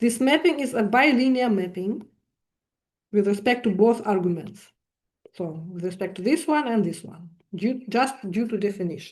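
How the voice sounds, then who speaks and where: A woman with a non-native accent speaks at a moderate pace in a fairly high, somewhat breathy voice, with lively intonation and long, frequent pauses. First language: not English. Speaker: mathematics lecturer. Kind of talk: lecture. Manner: halting, many fillers.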